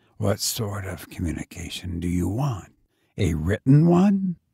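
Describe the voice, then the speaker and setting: Putting on a character voice, a man speaks with a raspy, fairly low pitch at a moderate pace. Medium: read story. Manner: dry, businesslike, indifferent.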